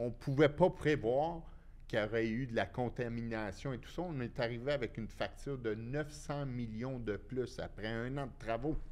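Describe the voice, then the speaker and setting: The speaker is a man with a plain, everyday voice. His pitch is medium, with ordinary pitch variation. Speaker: former construction businessman, inquiry witness. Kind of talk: casual chat.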